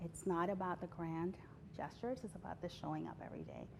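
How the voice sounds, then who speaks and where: A woman at a fairly quick pace. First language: not English. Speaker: healthcare language justice advocate. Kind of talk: award interview. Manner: formal.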